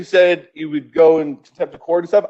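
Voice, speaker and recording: A man's voice with lively intonation. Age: 30s. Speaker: public commenter at council meeting. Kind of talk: public comment. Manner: animated.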